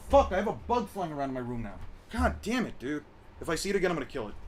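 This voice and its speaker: Noticeable background noise sits under a man's high-pitched voice. His intonation is lively. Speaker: streamer debating anime power scaling. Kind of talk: casual live stream chat. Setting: in his room, voice call. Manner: sounds irritated, exasperated; gets louder when heated.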